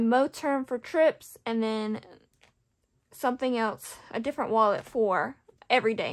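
A fairly slow delivery with ordinary pitch variation over a quiet background. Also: woman. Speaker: budgeting vlogger. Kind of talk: casual vlog chat.

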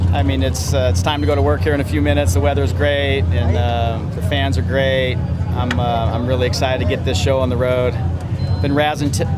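With music in the background, a man talks at a fairly quick pace, the sound dry with no echo. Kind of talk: pre-race interview answer. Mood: excited, smiling. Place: car. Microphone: phone near.

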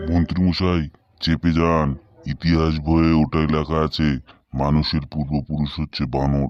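In a cartoonish character voice, a man speaks very deep and low, flat and monotone, at a moderate pace. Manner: steady, matter-of-fact.

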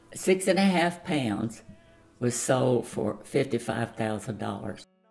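Faint music plays in the background as a woman speaks at a very slow pace in a very deep, low pitch. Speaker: grandmother. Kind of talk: interview answer. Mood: warm, nostalgic storytelling. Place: home room.

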